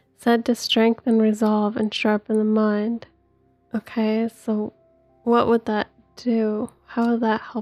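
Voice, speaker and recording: With music in the background, a soft-spoken, calm, gentle voice moves at a very slow pace in a flat monotone, recorded dry and close with no echo. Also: woman, fairly high pitch for a woman. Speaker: gaming video creator. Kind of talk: let's play commentary. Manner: calm, gentle pace.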